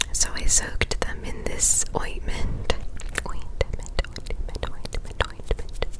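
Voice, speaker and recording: Someone whispers at a very slow pace. Noticeable background noise sits behind the voice. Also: woman. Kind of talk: ASMR whisper ramble. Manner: whispered.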